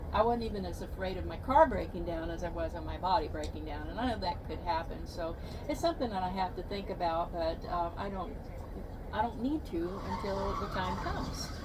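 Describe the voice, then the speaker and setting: A woman with an American accent speaks at a fairly quick pace. Audible room echo and noticeable background noise are present. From Texas. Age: 70s. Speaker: van life vlogger. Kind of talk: casual chat. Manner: halting.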